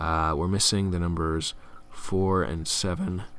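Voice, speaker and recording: The man's pitch is very deep and low. Audible room echo surrounds his voice. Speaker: game tutorial presenter. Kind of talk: tutorial. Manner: casual with fillers.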